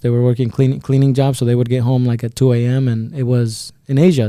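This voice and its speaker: A man speaks with a Spanish accent in a dark, mellow tone. His intonation is monotone and flat. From El Salvador, then Iowa, US. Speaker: insurance agency businessman. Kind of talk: podcast interview.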